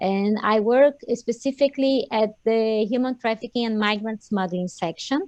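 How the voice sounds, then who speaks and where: A woman with a Portuguese accent, a fairly high pitch and fairly even intonation at a moderate pace, over a quiet background with a dry, close sound and no echo. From Brazil. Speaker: lawyer, crime prevention officer. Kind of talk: online panel introduction.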